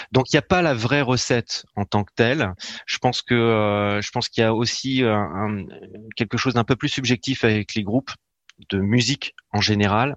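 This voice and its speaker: This man's voice sits at a medium pitch with ordinary pitch variation. He keeps a moderate pace. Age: 40s. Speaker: author and marketing specialist. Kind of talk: radio interview. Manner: halting, many hesitations.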